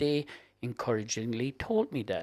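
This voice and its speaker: A man speaks at medium pitch with a Cork accent and lively intonation. The recording is very clean, with a silent background. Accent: Irish (Cork). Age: 70s. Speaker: guest sharing health story. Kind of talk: interview.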